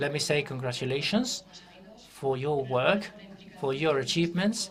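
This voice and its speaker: Over noticeable background noise and audible room echo, a man talks at a moderate pace in a fairly high voice. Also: lively intonation. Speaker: government official. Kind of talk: conference presentation.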